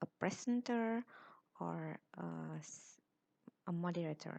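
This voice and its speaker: A woman with an Indonesian accent, dry and close with no echo. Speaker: university lecturer. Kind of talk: lecture. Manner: halting.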